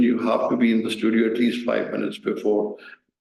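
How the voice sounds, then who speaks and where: Audible room echo surrounds a man speaking at medium pitch and a fairly quick pace. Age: 60s. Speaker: news reader. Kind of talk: talk to audience. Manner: halting.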